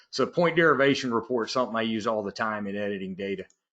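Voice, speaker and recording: With a Southern US accent, a man talks at a fairly quick pace in a bright, sharp tone with ordinary pitch variation. The background is quiet. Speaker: software trainer. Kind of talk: webinar tutorial. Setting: online webinar.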